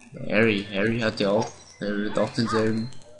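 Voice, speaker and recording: There is music in the background as a man talks. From Austria. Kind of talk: let's play gaming commentary. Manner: casual, gets worked up at times.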